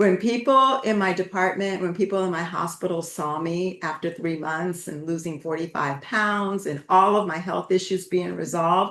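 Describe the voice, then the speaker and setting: A woman at medium pitch and moderate pace, with ordinary pitch variation, hardly any pauses, and noticeable background noise. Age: 70s. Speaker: retired nurse leader and wellness council member. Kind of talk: testimony. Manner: halting.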